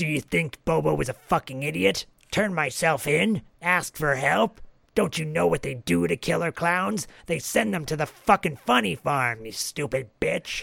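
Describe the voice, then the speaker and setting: A man uses a raspy put-on character voice, fairly high in pitch. He speaks at a moderate pace. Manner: angry, ranting.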